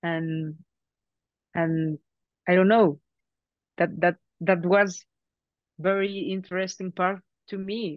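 With a Mexican accent, a woman speaks at a very slow pace and medium pitch. Her intonation is fairly even, broken by long, frequent pauses. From Mexico. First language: Spanish. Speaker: actress. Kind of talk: press interview. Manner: halting, with many repetitions.

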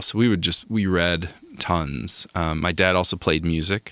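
A man with an American accent, a very deep, low pitch and a bright, sharp tone. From Arizona, small mountain town. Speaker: composer and recording artist. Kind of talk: casual interview chat. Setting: home garage studio.

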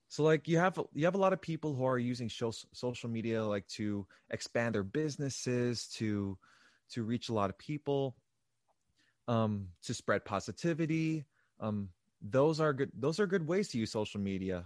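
In an unremarkable speaking voice with lively intonation, the speaker goes at a moderate pace, the sound dry and close with no echo over a quiet background. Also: man, medium pitch for a man. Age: 20s. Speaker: R&B singer-songwriter. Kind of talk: casual interview chat.

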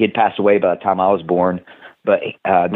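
A fairly quick delivery in a Tennessee accent. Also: man. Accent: Southern US, Tennessee. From Tennessee, US South. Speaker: professional wrestler and personal trainer. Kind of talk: casual podcast interview.

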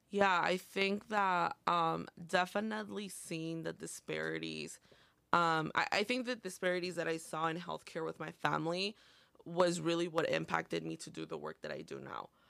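Someone with a Spanish accent speaks at a moderate pace. The recording is very clean, with a silent background. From northern Illinois, Montgomery/Aurora area. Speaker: community college student and health clinic worker. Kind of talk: casual interview.

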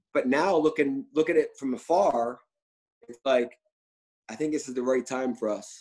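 A man with an American accent and an unremarkable speaking voice talks at a moderate pace, with a fairly high pitch and ordinary pitch variation. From Philadelphia. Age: 30s. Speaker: restaurant owner. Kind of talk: casual interview.

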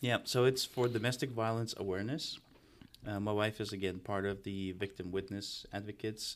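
The speaker has a Russian accent and a fairly quick pace. The intonation stays fairly even. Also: man, fairly low pitch for a man. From Russia (Moscow), then Los Angeles from about age ten. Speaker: real estate entrepreneur. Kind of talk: casual chat. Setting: studio.

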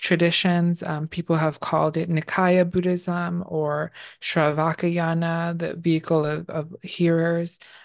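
Against a quiet background, a woman speaks fairly slowly in a flat monotone. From New York City (Bronx), born in Bangladesh. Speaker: artist and independent researcher. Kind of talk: podcast interview. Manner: halting, many fillers.

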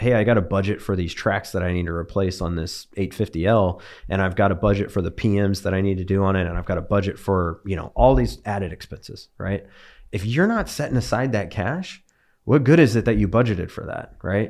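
Against a quiet background, a man speaks at a fairly low pitch with ordinary pitch variation. His is an ordinary speaking voice. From California, Bakersfield. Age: 30s. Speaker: equipment business owner. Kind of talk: casual chat.

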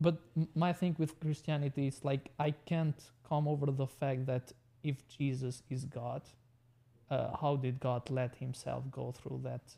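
A man with a dark, mellow tone and fairly high pitch speaks slowly and somewhat breathily in a monotone, flat delivery. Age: 20s. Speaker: tech business owner. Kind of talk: casual interview. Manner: halting.

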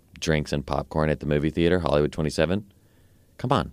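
Vocal fry and fairly even intonation come through on a very clean recording with a silent background. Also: man. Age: 30s. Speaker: writer. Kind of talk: casual chat.

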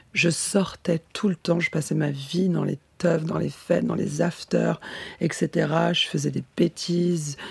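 At a very slow pace, a somewhat breathy voice speaks with ordinary pitch variation in a dry, close sound with no echo. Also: woman. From France, Nancy. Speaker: model and actress. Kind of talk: interview. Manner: halting.

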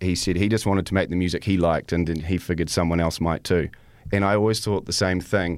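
A man with a very deep, low voice and an American accent, talking at a very fast pace in a monotone, flat way, on a very clean recording with a silent background. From Canada and New Zealand. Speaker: crime podcaster. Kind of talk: radio interview. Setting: radio studio.

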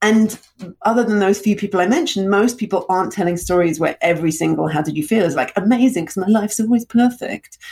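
A woman with a British accent at medium pitch, lively intonation and a very fast pace. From England, London (born in Russia). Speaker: storytelling coach and speaker. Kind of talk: interview conversation.

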